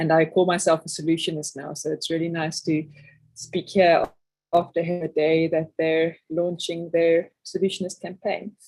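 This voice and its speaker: Monotone, flat intonation at a moderate pace. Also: woman, fairly low pitch for a woman. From South Africa. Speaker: systems thinker and project coordinator. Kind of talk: online presentation.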